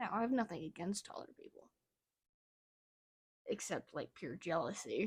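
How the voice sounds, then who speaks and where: The voice belongs to a woman, somewhat breathy and medium in pitch. She talks at a moderate pace. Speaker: artist showing sketchbook. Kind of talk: casual vlog commentary. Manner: casual, hesitant with fillers.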